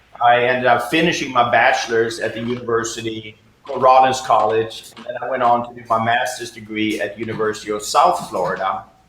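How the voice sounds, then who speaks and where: A man with a medium pitch talks at a fairly quick pace with fairly even intonation. His loudness swings widely, and there is noticeable background noise. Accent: Swedish. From Sweden. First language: Swedish. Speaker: jazz pianist and professor. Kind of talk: interview. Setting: video call.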